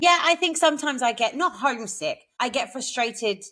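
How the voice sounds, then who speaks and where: A woman talks in a high voice with very wide pitch swings. Her tone is bright and sharp, and her pace is moderate. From England. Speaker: podcast co-host. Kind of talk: casual chat.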